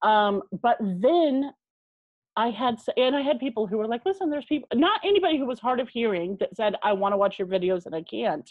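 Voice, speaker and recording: A woman talks at a fairly quick pace in a fairly high pitch. Her pitch swings very widely. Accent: American. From California (San Diego). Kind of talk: casual chat.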